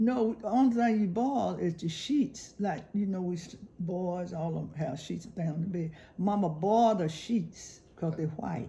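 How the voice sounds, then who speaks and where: This woman has a Southern US accent and a fairly low pitch with a dark, mellow tone. She sounds somewhat breathy, and her intonation is lively. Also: moderate pace. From South Carolina. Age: 80s+. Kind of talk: interview answer.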